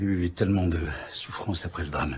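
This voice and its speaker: A man speaks at a moderate pace. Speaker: actor. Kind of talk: TV drama scene.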